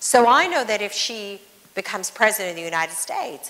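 A woman with an American accent has a bright, sharp tone and lively intonation. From Northern California, Sacramento Valley; Northern California. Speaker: former ambassador and businesswoman; speaker. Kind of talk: onstage interview conversation. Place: hall.

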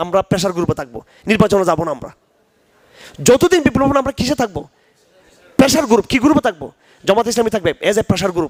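The speaker is a man with a high-pitched voice. His intonation is lively. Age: 50s. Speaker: Islamic scholar. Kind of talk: religious lecture.

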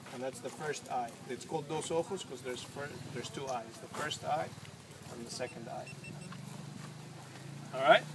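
Over noticeable background noise, a man speaks with fairly even intonation and long, frequent pauses. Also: moderate pace. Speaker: dive guide. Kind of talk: dive briefing explanation. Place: forest. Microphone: phone near.

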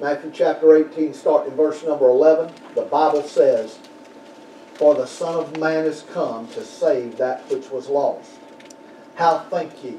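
A man speaks at a fairly slow pace with fairly even intonation, with audible room echo and light background noise. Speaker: pastor. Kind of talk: sermon. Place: church. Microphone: podium.

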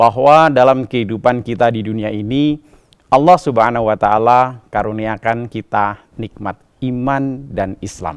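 Against a quiet background, a man's voice and its ordinary pitch variation. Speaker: religious preacher. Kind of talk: sermon. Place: studio. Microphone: lapel.

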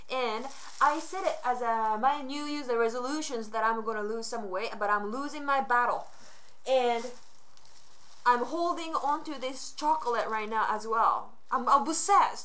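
Speaking at a fairly slow pace with a Japanese accent, a woman uses a high pitch, an animated tone and ordinary pitch variation. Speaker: vlogger. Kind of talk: casual vlog to camera. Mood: playful, self-mocking. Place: home room. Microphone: webcam.

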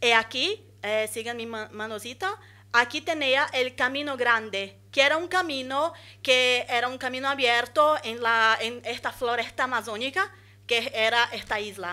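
A woman with a Portuguese accent, high-pitched with a bright, sharp tone, ordinary pitch variation and a fairly slow pace. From Brazil, São Luís (Maranhão, northeast); Maranhão, Brazil. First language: Portuguese (speaking Spanish). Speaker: architect and urban planner, master's student; presenter. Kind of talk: conference talk. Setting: conference hall with audience. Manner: halting, many fillers. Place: hall. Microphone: podium.

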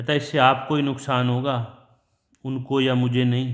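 A man talks in a medium pitch. His intonation is monotone and flat. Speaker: English teacher. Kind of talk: lecture.

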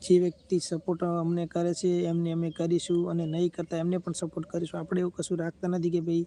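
Dry and close with no echo, this man's voice is high-pitched with a dark, mellow tone and monotone, flat intonation. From Gujarat, Banaskantha district (Kankrej taluka). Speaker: YouTuber selling lottery tokens. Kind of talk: live stream chat and sales pitch. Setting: YouTube live stream.

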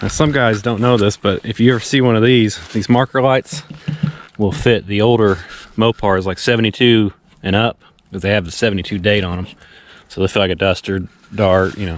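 An unremarkable speaking voice goes at a fairly quick pace with ordinary pitch variation in a dry sound with no echo. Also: man, fairly low pitch for a man. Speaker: car enthusiast vlogger. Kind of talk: casual vlog chat. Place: forest. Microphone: phone near.

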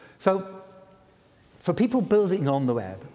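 Pitch rises and falls across a very wide range. There is a somewhat breathy quality to the voice. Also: man. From Britain. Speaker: inventor of the World Wide Web giving a lecture. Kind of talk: public lecture. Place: stage. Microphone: lapel.

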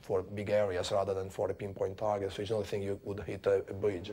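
A man talks at a very fast pace in a dark, mellow tone, somewhat breathy and at a fairly low pitch. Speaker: Tornado pilot. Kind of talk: interview recollection; interview answer. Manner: halting, with fillers.

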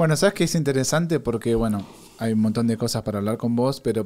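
The voice belongs to a man. It has a dark, mellow tone. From Argentina. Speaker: podcast host. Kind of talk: casual chat. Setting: studio. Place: studio. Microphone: studio mic.

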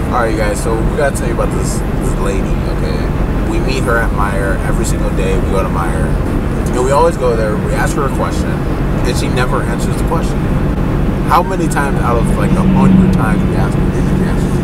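Speech rushes at a very fast pace against loud background noise. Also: man. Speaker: vlogger. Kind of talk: casual vlog chat. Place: car. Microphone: phone near.

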